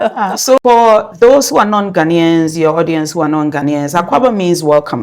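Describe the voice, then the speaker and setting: With music in the background, a woman talks with hardly any pauses, lively intonation and a fairly low pitch. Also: moderate pace. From Ghana. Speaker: community leader and food business owner. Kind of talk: interview.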